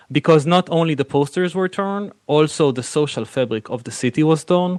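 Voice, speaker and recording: A man speaks with an Israeli accent in a dry, close sound with no echo. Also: quiet background. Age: 40s. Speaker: film director and producer. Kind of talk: interview.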